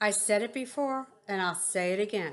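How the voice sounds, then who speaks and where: Putting on a character voice, a woman rumbles at medium pitch and a moderate pace. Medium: read story. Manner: grumbling, curt.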